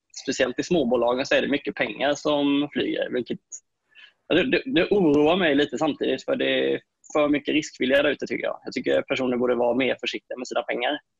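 Against a quiet background, the speech comes at a very fast pace with a dry sound and no echo. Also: man. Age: 20s. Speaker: full-time day trader; guest. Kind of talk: panel discussion. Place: home room. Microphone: earbuds.

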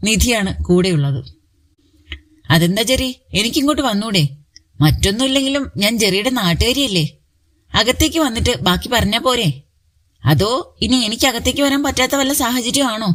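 This woman's voice sits fairly high, with vocal fry and very wide pitch swings. Her loudness stays very even throughout. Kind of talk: romantic story narration.

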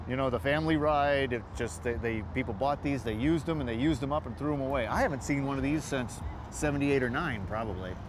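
A man talks very fast with hardly any pauses, vocal fry and ordinary pitch variation. The sound is dry with no echo, though background noise is noticeable. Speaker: car show host. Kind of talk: interview. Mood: cheerful, joking. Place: street. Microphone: lapel.

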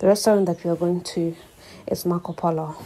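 There is light background noise. A woman speaks at a fairly low pitch. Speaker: vlogger. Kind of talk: casual vlog chat. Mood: cheerful, excited. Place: bathroom. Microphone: phone near.

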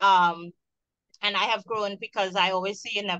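A Trinidadian accent with a bright, sharp tone at a moderate pace, dry and close with no echo. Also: woman. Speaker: waste management entrepreneur, panel moderator. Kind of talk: panel discussion.

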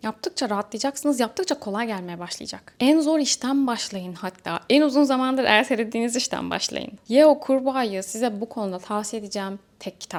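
Here is a woman with an ordinary speaking voice and a fairly high pitch. She talks at a fairly quick pace with lively intonation and hardly any pauses. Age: 20s. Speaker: self-improvement youtuber and social media coach. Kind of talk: motivational talk to camera.

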